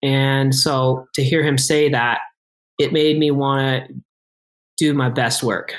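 Speaking very slowly with long, frequent pauses, a man with an American accent and a fairly high pitch keeps a monotone, flat intonation and very even loudness. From Boise, Idaho. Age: 30s. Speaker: mountain bike ambassador and video editor. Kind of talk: casual interview.

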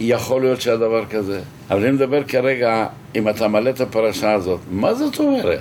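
This man sounds animated, his pitch swinging very widely. Noticeable background noise runs behind him. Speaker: orientalist scholar. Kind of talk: interview, heated debate. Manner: animated, argumentative.

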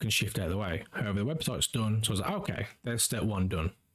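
Talking at a very fast pace, a man with fairly low pitch uses ordinary pitch variation. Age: 30s. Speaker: podcast host and streamer. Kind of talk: solo monologue. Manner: casual, with many fillers.

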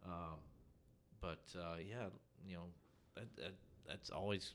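In a Tennessee accent, a man with a very deep, low pitch and vocal fry speaks fairly slowly, with ordinary pitch variation and long, frequent pauses. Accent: US Southern (Tennessee). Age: 40s. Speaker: golf course superintendent. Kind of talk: casual interview. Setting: on-site at golf course.

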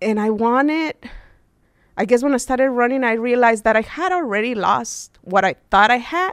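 A woman speaks with lively intonation at a high pitch. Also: moderate pace. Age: 30s. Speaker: student and ultramarathon runner. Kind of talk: interview.

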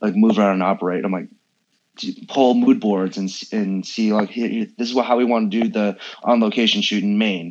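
A man with a West Coast accent talks fairly quickly in a fairly low pitch. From San Francisco, US. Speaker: food photographer. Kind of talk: interview.

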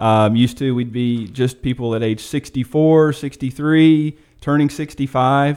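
A man with a plain, everyday voice speaks at a fairly slow pace in a medium pitch. His intonation is fairly even, with hardly any pauses. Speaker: financial advisor. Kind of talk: radio interview discussion.

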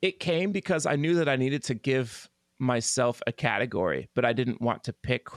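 With an unremarkable speaking voice, a man with an American accent talks at a fairly quick pace in a medium pitch, his loudness very even, recorded very cleanly against a silent background in a dry, close sound with no echo. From Oklahoma (Tulsa). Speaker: pianist and composer. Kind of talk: interview conversation.

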